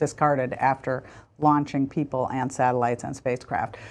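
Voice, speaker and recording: Over a quiet background, a woman speaks with a very deep, low pitch and monotone, flat intonation. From US Midwest, Michigan. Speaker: former space agency official and author. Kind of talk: TV interview.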